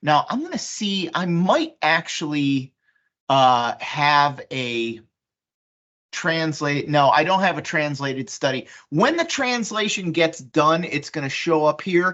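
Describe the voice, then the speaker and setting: With a very deep, low voice, a woman talks at a very slow pace using lively intonation. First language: Polish. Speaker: software presenter. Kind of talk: software demonstration. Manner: casual, conversational with fillers.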